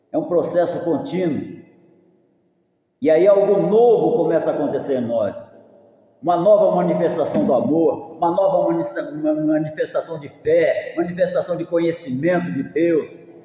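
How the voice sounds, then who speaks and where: The speech moves at a moderate pace. Room echo can be heard. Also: man. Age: 70s. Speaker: pastor. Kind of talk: sermon.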